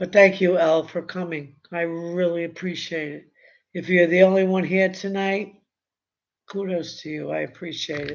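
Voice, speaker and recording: A woman speaks with a New York accent at a moderate pace. Her intonation is monotone and flat, while her loudness swings widely. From Brooklyn, New York. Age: 70s. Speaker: YouTube commentator. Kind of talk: casual live stream chat. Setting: live stream. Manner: halting, with many fillers.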